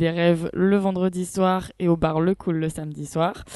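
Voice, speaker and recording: A woman with a dark, mellow tone speaks at a fairly slow pace over a quiet background. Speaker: first-time podcast guest, series reviewer. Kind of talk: casual chat with reviews.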